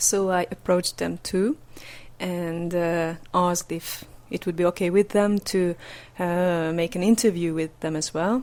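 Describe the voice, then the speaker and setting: A woman speaks with a Hungarian accent at a fairly low pitch. Her pace is fairly slow and her intonation fairly even. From Hungary. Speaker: podcast interviewer. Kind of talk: podcast intro and interview. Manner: hesitant, many fillers.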